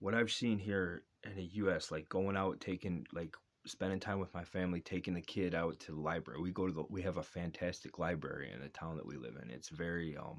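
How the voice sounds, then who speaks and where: In a very clean recording with a silent background, a man with a very deep, low pitch and vocal fry talks at a fairly quick pace with hardly any pauses and ordinary pitch variation. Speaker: father vlogger. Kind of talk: casual monologue. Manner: fast.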